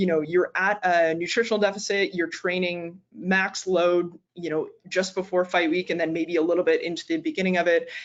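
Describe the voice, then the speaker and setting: Her pitch is medium, and she speaks with a Maritime Canadian accent. The woman's intonation is fairly even, with hardly any pauses. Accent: Canadian (Maritimes). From Canada, Nova Scotia. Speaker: naturopathic doctor and sports dietitian. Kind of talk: lecture. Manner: fast.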